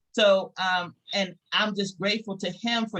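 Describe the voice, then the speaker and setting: A woman with a Southern US accent speaks with ordinary pitch variation in a dry, close sound with no echo. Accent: Southern US (Georgia). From US South, rural Georgia. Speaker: business network host. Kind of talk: closing remarks at a virtual meeting. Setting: video call.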